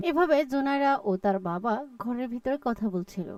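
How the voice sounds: A woman's fairly high voice with a slightly mellow tone, lively intonation and a fairly slow pace, recorded dry and close with no echo.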